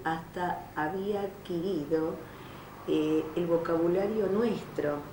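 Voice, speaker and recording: A woman with a Rioplatense accent speaks at a very slow pace. Her pitch is fairly low, and noticeable background noise can be heard. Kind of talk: oral history interview answer.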